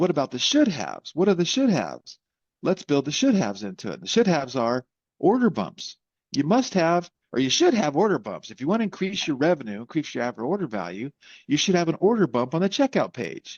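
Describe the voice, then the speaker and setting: Here a man has a fairly high pitch and some vocal fry. His pitch swings very widely. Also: fairly quick pace. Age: 60s. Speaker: tech company founder and CEO. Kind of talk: podcast interview. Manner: animated, frequent self-corrections.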